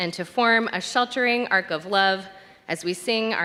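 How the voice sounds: The voice reads in a natural way. Its pitch variation is ordinary.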